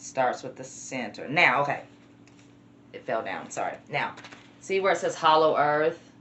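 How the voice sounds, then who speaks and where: A woman speaks in a Southern US accent at a moderate pace. Her pitch is very deep and low. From US South. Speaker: vlogger. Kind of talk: casual vlog.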